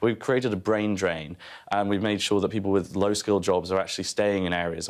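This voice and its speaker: Talking at a very fast pace, a man with a very deep, low pitch keeps a fairly even intonation against a quiet background. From North Wales. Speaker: think tank economist. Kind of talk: heated debate. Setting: TV studio. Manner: halting, repeats words. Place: studio. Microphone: lapel.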